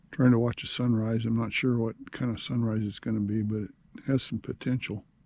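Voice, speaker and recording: Quietly and at a fairly quick pace, a man speaks at a medium pitch. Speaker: camping vlogger. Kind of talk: casual vlog narration. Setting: outdoors at a campsite. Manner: halting, many fillers.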